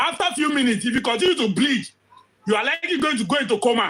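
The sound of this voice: A man's bright, sharp tone carries lively intonation.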